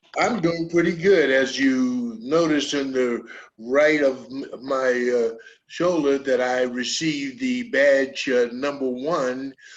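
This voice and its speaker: The delivery is very slow, with ordinary pitch variation. Noticeable background noise is present. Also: man, fairly high pitch for a man. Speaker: talk show host. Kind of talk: casual interview. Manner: halting, many fillers.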